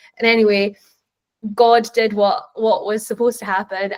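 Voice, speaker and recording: A woman with a Scottish accent, medium-pitched and monotone, her intonation flat. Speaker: tech professional, panelist. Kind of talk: panel discussion answer.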